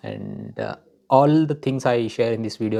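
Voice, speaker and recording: The intonation in this man's speech is fairly even. He keeps a moderate pace. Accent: Telugu. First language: Telugu. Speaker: vlogger. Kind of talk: personal self-help talk. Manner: hesitant, many fillers.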